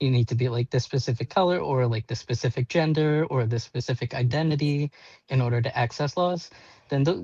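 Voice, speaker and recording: At a fairly quick pace, a man speaks in a medium-pitched, somewhat breathy voice with a dark, mellow tone, ordinary pitch variation and very even loudness, recorded dry and close with no echo against a quiet background. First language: Portuguese. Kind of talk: panel discussion. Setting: live video stream. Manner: animated.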